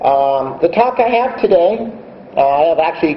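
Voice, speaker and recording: Fairly slow, lively intonation, with audible room echo and noticeable background noise. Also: man. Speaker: invited conference speaker. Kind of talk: conference keynote talk. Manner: deliberately slowed pace; hesitant, many fillers.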